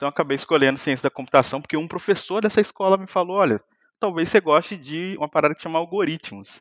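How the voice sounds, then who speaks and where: At a very fast pace, a man with a fairly high pitch speaks with ordinary pitch variation and big swings in loudness, the sound dry and close with no echo. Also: quiet background. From Brazil, Minas Gerais (Muriaé). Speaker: software engineer and YouTuber. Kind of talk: casual chat.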